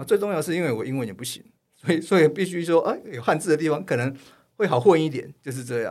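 At a very fast pace, a man with a fairly high pitch speaks with lively intonation. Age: middle-aged. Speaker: photojournalist. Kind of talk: casual chat.

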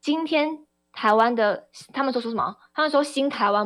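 At a moderate pace, a woman speaks with lively intonation on a very clean recording with a silent background. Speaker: radio host and party spokesperson. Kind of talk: political talk radio commentary. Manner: impassioned.

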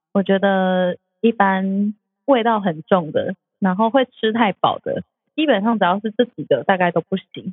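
Speaking at a moderate pace with ordinary pitch variation, a woman at medium pitch has an unremarkable speaking voice. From Taiwan, outside Taipei. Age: 30s. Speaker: food podcast host. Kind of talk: casual chat.

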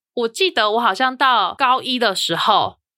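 A woman's voice with a bright, sharp tone. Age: 30s. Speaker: podcast host. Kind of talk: casual chat.

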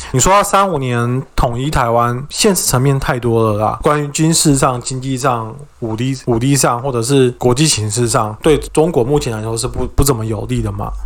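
In a Taiwanese accent, a man speaks at medium pitch and a moderate pace, with ordinary pitch variation and hardly any pauses. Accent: Taiwanese Mandarin. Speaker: podcast co-host. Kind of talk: casual chat.

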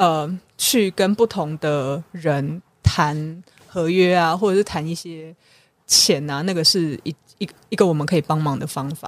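A woman speaks in an ordinary speaking voice at a fairly slow pace, with fairly low pitch and ordinary pitch variation. The recording is very clean, with a silent background. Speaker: philanthropy consultant and author. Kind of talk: interview.

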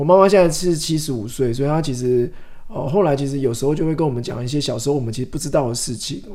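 Room echo is audible as a man speaks at a very fast pace. His tone is dark and mellow, with ordinary pitch variation. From Taiwan, Changhua. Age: 40s. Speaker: author. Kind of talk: interview.

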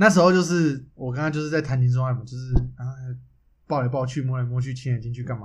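Over audible room echo, the speaker goes at a very fast pace, somewhat breathy, with big swings in loudness. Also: man, medium pitch for a man, ordinary pitch variation. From Taiwan. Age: 20s. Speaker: podcast co-host. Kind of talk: casual chat. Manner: animated, frequent laughter.

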